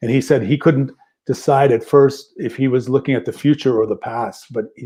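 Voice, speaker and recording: A man talks at a fairly quick pace in a dark, mellow tone, with fairly even intonation. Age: 60s. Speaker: musician and record label owner. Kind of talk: interview conversation. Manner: halting.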